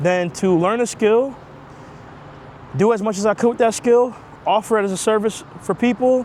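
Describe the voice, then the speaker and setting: With a New York accent, a man speaks at a high pitch and a moderate pace. His pitch variation is ordinary, and noticeable background noise is present. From New York (Queens). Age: 30s. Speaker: digital marketer, vlogger. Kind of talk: casual rant vlog. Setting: outdoors, walking. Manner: casual, conversational.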